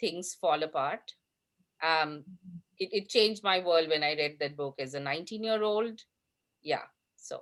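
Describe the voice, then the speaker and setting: A woman with a Bengali accent speaks at a fairly slow pace. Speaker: panelist. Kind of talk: panel discussion.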